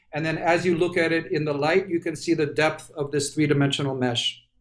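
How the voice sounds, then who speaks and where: A man with an American accent and a fairly high pitch, with fairly even intonation and music in the background. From New York City. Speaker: industrial designer. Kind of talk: presentation of design work.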